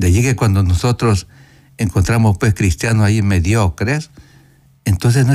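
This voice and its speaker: A man with a fairly low pitch speaks in a dark, mellow, somewhat breathy tone. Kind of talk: radio catechesis talk with call-in. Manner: soft-spoken.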